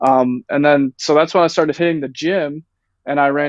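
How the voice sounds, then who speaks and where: A man with a fairly high pitch and fairly even intonation has an ordinary speaking voice. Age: 19. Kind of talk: casual chat.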